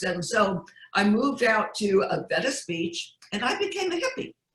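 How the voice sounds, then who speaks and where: With an American accent, a woman speaks at a fairly high pitch in very wide pitch swings. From US Northeast, Connecticut. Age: 70s. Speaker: magazine publisher. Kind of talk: interview testimony. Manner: no-nonsense.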